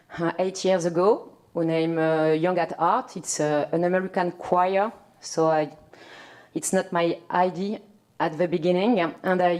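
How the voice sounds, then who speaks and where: A woman talks with a fairly low pitch. Her delivery is fairly slow, with monotone, flat intonation. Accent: French. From France. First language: French. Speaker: community arts worker. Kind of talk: panel discussion. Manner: halting, many fillers.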